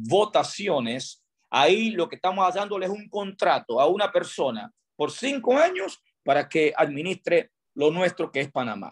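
A high-pitched man with lively intonation at a fairly slow pace, against a quiet background. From Panama, Pedasí (Los Santos); Panama. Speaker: tourism industry chamber president. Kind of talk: radio interview. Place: home room. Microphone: video call.

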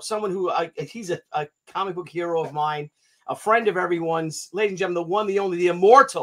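A man talks at a fast pace. His pitch is high for a man. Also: ordinary pitch variation.

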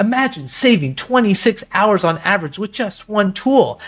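A put-on character voice moves at a moderate pace with lively intonation. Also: man, high pitch for a man. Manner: dramatic, announcer-like.

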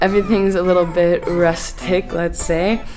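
Clear music plays behind a woman speaking at a moderate pace. Her voice is fairly low in pitch with fairly even intonation. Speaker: fitness travel vlogger. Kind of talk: casual vlog chat. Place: gym. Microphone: phone near.

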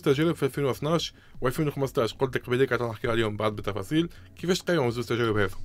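A man talks at a very fast pace with lively intonation. The sound is dry, with no echo. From Tunisia. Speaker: sports radio host. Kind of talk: radio interview. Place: studio. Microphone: studio mic.

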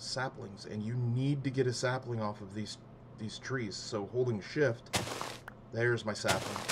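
A man with a medium-pitched, somewhat breathy voice speaks at a fairly slow pace with fairly even intonation. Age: 30s. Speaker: gaming youtuber. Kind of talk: casual gameplay commentary. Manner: halting, many fillers.

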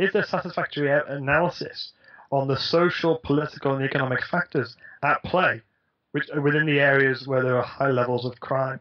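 Against a quiet background, a man speaks at a fairly quick pace. His voice is fairly high in pitch with ordinary pitch variation. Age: 20s. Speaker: guest. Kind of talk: interview. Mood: earnest, thoughtful. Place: home room. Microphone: headset.

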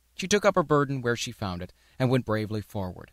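In a very clean, dry and close recording with no echo and a silent background, a man with an unremarkable speaking voice talks at a fairly quick pace and a medium pitch. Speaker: audiobook narrator. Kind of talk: audiobook narration.

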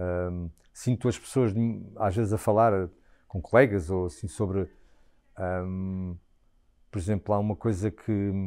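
Very deep, low male voice with a dark, mellow tone and fairly even intonation, fairly slow with long, frequent pauses, against a quiet background. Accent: European Portuguese. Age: 40s. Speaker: stage actor. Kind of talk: interview. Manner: halting, many repetitions and fillers. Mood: thoughtful, reflective. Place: home room. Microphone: lapel.

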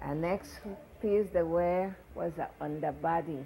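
A woman speaks at a very slow pace. Light background noise is present. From U.S. Virgin Islands. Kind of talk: oral history interview answer. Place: home room.

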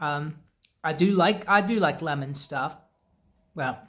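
A very slow pace marks this clip. The one talking is a man. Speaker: snack reviewer. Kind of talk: casual review vlog chat. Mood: relaxed, mildly pleased. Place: garage. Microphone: phone near.

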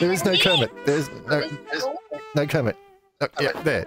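Music plays in the background as a man speaks at a fairly slow pace. His voice is fairly high, with lively intonation. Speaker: VR chat player greeting strangers. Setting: online voice chat.

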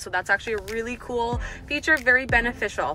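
A woman is speaking with clear music in the background. The sound is dry with no echo. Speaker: car salesperson. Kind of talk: product walkaround presentation. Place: car. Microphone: phone near.

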